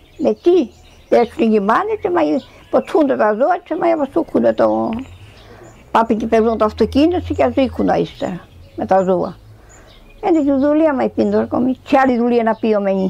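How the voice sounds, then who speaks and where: With noticeable background noise behind her, a woman with a Tsakonian accent talks at a moderate pace, leaving long, frequent pauses. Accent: Tsakonian dialect Greek. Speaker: elderly villager, dialect speaker. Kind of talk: oral history interview.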